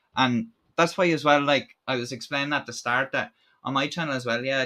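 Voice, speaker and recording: Speaking very fast with an Irish accent, a man uses a bright, sharp tone at medium pitch with ordinary pitch variation. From Ireland. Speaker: YouTube channel host. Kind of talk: live stream chat. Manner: casual, halting with fillers.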